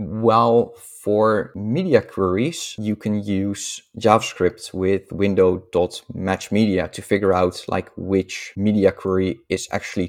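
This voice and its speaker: In a Dutch accent, a man speaks at a very slow pace with a fairly low pitch and ordinary pitch variation, on a very clean recording with a silent background. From Netherlands. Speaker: software developer. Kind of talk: casual interview.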